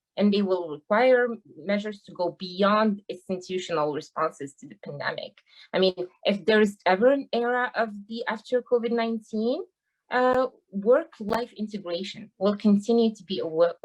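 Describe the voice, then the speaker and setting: With a strong non-native accent, a woman speaks at medium pitch and a moderate pace, with ordinary pitch variation and big swings in loudness. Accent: thick foreign. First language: not English. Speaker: university teaching assistant. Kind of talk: panel discussion.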